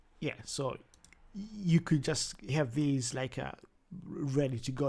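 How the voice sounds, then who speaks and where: Dark and mellow, somewhat breathy, the voice carries a strong Zimbabwean accent and fairly even intonation. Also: man. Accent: thick Zimbabwean. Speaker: language learning vlogger. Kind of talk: tutorial. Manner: halting, many repetitions.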